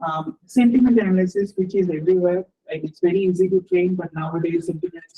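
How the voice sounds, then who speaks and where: Very fast speech in a Bengali accent. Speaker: research scientist. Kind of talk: lecture. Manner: halting, many repetitions and fillers.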